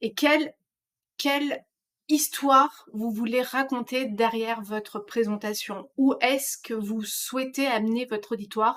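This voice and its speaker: High pitch from a woman, fairly slow delivery and normal rise and fall in pitch. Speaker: trainer; trainer presenting slides. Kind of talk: online course lecture. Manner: hesitant, many fillers. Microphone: webcam.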